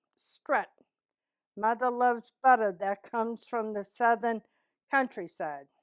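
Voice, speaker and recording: A woman's fairly high voice, with fairly even intonation, comes through on a very clean recording against a silent background. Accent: Boston. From East Boston, Massachusetts. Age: 70s. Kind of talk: reading a word list.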